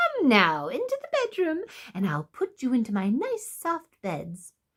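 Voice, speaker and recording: Using a put-on character voice, a woman cackles at a high pitch. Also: moderate pace. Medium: read story. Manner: coaxing, cackling.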